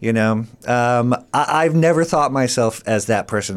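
In an American accent, this is an ordinary speaking voice. It moves at a moderate pace with lively intonation. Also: man. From US Midwest. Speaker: comedian and actor. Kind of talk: casual chat. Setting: studio.

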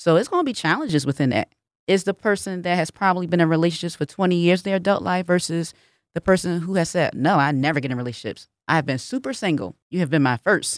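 Very fast, lively speech with an American accent, dry and close with no echo. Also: woman, fairly low pitch for a woman. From Philadelphia. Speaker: relationship podcast host. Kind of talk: radio interview.

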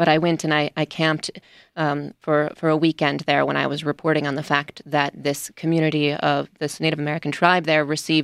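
In a very clean recording with a silent background and a dry, close sound with no echo, a woman with a Midwestern US accent speaks in a monotone, flat intonation at a very deep, low pitch. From US Midwest. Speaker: radio news reporter. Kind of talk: radio panel discussion. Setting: studio.

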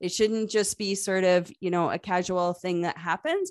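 A woman's plain, everyday voice, medium pitch, ordinary pitch variation, fairly quick pace, quiet background. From Canada. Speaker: customer success consultant. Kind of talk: casual interview conversation.

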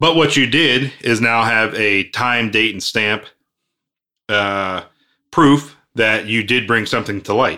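In a very clean recording with a silent background, a man speaks at a medium pitch with ordinary pitch variation and a bright, sharp tone. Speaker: podcast co-host, aircraft maintenance. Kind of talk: casual chat podcast discussion. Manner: fast talker, stumbles over words.

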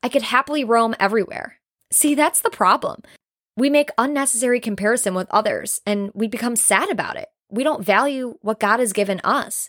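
An animated tone with ordinary pitch variation comes through a very clean recording with a silent background and a dry, close sound with no echo. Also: woman. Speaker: podcast host. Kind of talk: solo podcast monologue, motivational talk. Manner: fast talker, loud, animated; excitable, jumps between topics, cuts people off.

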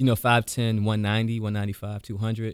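A man with an American accent speaks at a very fast pace with a fairly low pitch. The recording is very clean, with a silent background. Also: dry, close sound with no echo. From US, Washington DC (Southeast). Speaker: attorney and former college football player. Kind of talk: casual interview.

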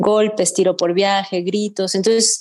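At a fairly quick pace, a woman talks in a normal speaking voice at a medium pitch. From Mexico. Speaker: fiction writer. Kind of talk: interview.

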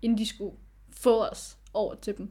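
A woman speaks with vocal fry at a medium pitch. The recording is very clean, with a silent background. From Aarhus, Denmark. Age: 20s. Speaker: adoptee. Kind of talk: casual chat.

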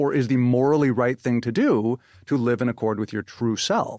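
An unremarkable speaking voice holds a fairly even intonation. The sound is dry and close with no echo, and the background is quiet. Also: man. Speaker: psychology professor. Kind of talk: interview.

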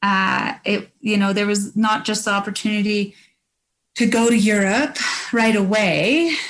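A woman with a Canadian accent speaks at a fairly slow pace and a medium pitch. Her loudness stays very even, and her intonation is fairly even. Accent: Canadian-sounding. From New Zealand and Canada. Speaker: former Olympic biathlete. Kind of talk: casual interview.

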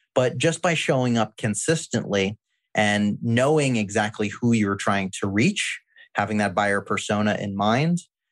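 With an ordinary speaking voice, a man talks at a moderate pace and fairly low pitch, using ordinary pitch variation. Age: 30s. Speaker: marketing agency founder. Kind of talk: interview.

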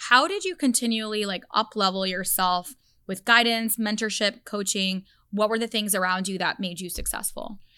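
Her bright, sharp tone comes through as a woman speaks at a moderate pace and a fairly high pitch with ordinary pitch variation, on a very clean recording with a silent background. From grew up largely outside the US. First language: not English. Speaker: podcast host and entrepreneur. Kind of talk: casual interview conversation.

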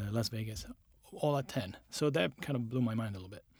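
A man's somewhat breathy, medium-pitched voice on a very clean recording with a silent background. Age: 40s. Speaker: designer. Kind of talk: interview.

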